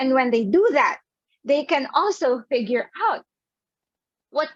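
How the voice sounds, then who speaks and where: Loud and animated, a woman speaks at a fairly slow pace in a high voice with lively intonation. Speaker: psychologist and sex therapist. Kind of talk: virtual talk presentation.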